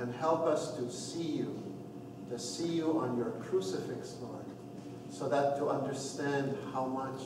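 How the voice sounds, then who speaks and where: With noticeable background noise and audible room echo around him, a man speaks fairly slowly. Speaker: priest leading RCIA class. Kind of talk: opening prayer. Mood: calm, devout. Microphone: camera far.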